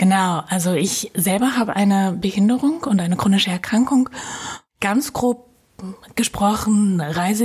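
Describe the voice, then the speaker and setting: Noticeable background noise runs behind this woman's voice. She keeps a moderate pace and ordinary pitch variation. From Germany, Münster. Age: 20s. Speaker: blogger and inclusion activist. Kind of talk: interview conversation. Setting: hotel room.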